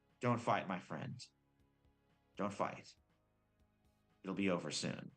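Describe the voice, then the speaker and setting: Using a put-on character voice, a man speaks at a fairly slow pace with a fairly low pitch. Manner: gentle; soothing.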